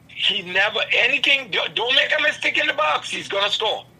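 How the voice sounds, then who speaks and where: An animated man at an extremely high pitch and a moderate pace, with noticeable background noise. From Trinidad. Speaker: podcast guest, host's father. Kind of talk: casual chat. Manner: halting.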